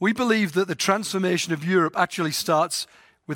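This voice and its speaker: A man with an English accent and ordinary pitch variation, in a dry, close sound with no echo. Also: very clean recording, silent background. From England. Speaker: mission organization president. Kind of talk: talk to volunteers.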